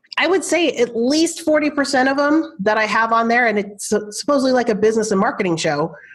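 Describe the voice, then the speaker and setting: Over noticeable background noise, a woman speaks at a very fast pace in a high, animated voice. Her pitch swings very widely while her loudness stays very even. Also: hardly any pauses. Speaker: marketing coach and podcast host. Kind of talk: podcast interview.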